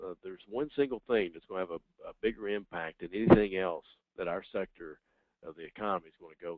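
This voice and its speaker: In a Southern US accent, a man talks at a fairly quick pace with ordinary pitch variation. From US South. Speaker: professor. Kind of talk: webinar Q&A. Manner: halting, many fillers.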